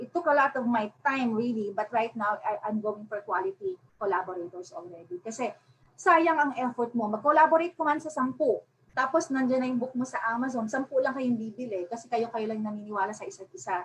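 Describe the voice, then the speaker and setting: A woman speaks in a high voice at a fairly quick pace. Her intonation is lively. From Philippines. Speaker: self-published author. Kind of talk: webinar presentation. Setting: online webinar. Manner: Taglish code-switching.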